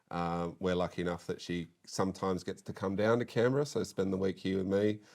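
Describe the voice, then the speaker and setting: With an Australian accent, a man speaks at a fairly quick pace in a very deep, low pitch with ordinary pitch variation, captured in a very clean recording with a silent background. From Western Sydney, Australia. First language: French. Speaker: politician. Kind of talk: casual chat. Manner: halting.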